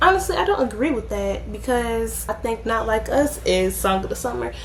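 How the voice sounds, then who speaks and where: Over noticeable background noise and audible room echo, a woman talks at a moderate pace. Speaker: youtuber, commentary vlogger. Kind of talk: casual vlog monologue. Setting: at home. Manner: loud, projected.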